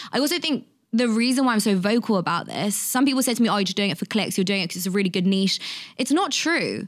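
A woman's fairly high voice with lively intonation, in a London accent, on a very clean recording with a silent background. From England, London. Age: 20s. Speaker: author and content creator. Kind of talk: casual interview chat.

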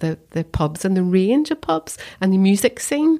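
A woman with a Belfast accent and a medium pitch. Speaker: council chief executive. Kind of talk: casual interview chat.

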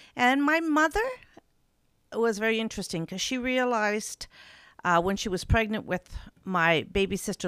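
A woman talks at a moderate pace in an ordinary speaking voice with lively intonation. The recording is very clean, with a silent background. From Labrador, Canada. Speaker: university president. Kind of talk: interview.

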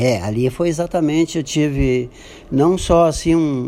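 With a plain, everyday voice, this man talks fairly high in pitch, and his pitch rises and falls in an ordinary way. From Brazil, Santo Antônio da Patrulha, Rio Grande do Sul. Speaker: businessman. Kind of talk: radio interview.

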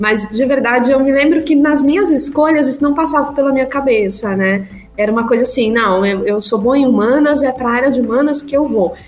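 The speech comes at a fairly quick pace with very even loudness and ordinary pitch variation. Noticeable background noise is present. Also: woman, high pitch for a woman. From São Paulo, Brazil. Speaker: agile coach. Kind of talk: interview conversation.

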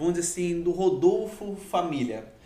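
A man with a Rio accent speaks at a fairly quick pace and a high pitch. Noticeable background noise and audible room echo surround him. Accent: Baixada Fluminense Rio. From Rio de Janeiro, Queimados (Baixada Fluminense). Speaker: podcast host. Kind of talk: casual interview. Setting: live podcast studio.

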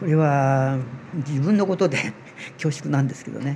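A man's fairly high, somewhat breathy voice with a dark, mellow tone, at a moderate pace. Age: 80s+. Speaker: amateur seaweed researcher. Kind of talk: interview explanation.

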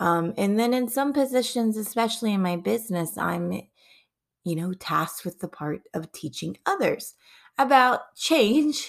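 The delivery is fairly slow, with lively intonation. It comes in a normal speaking voice. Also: woman. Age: 30s. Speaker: parenting podcast host. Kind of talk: solo monologue.

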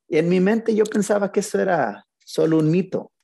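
Against a quiet background, a man with a Mexican accent speaks at a moderate pace in a dark, mellow tone. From Mexico, Zacatecas. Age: 40s. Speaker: dog trainer. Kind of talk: casual interview. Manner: calm, relaxed.

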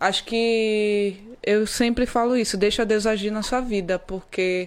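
A woman's speech shows ordinary pitch variation on a very clean recording against a silent background. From Pará, northern Brazil (Vigia). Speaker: footballer. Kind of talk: interview.

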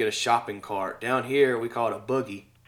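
A man speaks with a Southern US accent and fairly even intonation. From Mississippi, US South. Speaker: podcast host. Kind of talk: casual chat.

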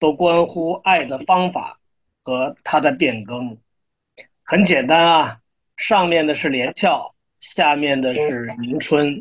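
At a very slow pace, a man speaks in a fairly high pitch with ordinary pitch variation. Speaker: poet and publisher. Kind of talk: poetry reading. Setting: online livestream.

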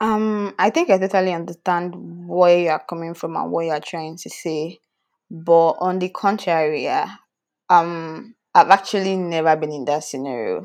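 Speaking at a moderate pace against a quiet background, a woman with a fairly low pitch keeps a fairly even intonation while her loudness swings widely. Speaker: podcast co-host. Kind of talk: casual chat. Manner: relaxed.

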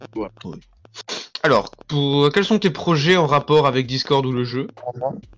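Speaking at a very slow pace, a man with a fairly high-pitched voice uses lively intonation. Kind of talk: casual chat. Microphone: new microphone.

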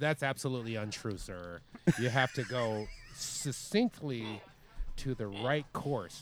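In a nasal, put-on character voice, a man speaks at a medium pitch and a fairly slow pace. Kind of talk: formal, job interview.

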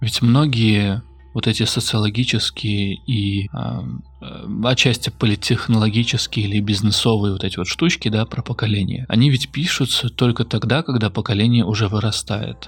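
This man speaks in a fairly low pitch with ordinary pitch variation and a somewhat breathy sound. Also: moderate pace. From central Russia. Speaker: podcaster. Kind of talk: personal monologue. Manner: reflective.

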